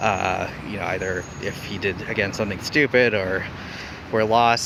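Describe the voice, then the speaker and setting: Over noticeable background noise, a man talks at a moderate pace in a fairly low, monotone voice with flat intonation. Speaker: comedian and show host giving a tour. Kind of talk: casual vlog tour narration. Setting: outdoors on a studio backlot, in a tour vehicle.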